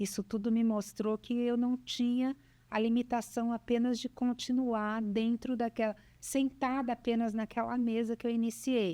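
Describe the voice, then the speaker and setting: In a very clean recording with a silent background and a dry, close sound with no echo, a woman speaks at a fairly slow pace with a fairly high pitch and a dark, mellow tone. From Brazil, São Paulo state (Bauru). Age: 60s. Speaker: businesswoman, cancer survivor. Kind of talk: interview, life story.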